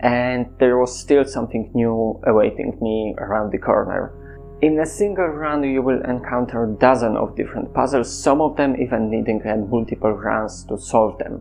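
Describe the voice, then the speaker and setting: Over background music, a man with a Polish accent talks at a moderate pace with hardly any pauses, in a medium pitch with ordinary pitch variation. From Poland. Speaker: content creator. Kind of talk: casual monologue.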